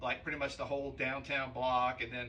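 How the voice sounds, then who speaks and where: Bright and sharp in tone, a man's fairly high voice comes through flat and monotone in an American accent, with audible room echo. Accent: Louisiana Cajun. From Louisiana, US South (Cajun, near Baton Rouge). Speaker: podcast guest. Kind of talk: casual chat.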